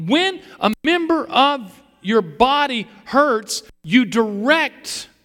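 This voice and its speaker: A man's voice has a bright, sharp tone and very wide pitch swings. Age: 60s. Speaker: pastor. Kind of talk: sermon. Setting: church.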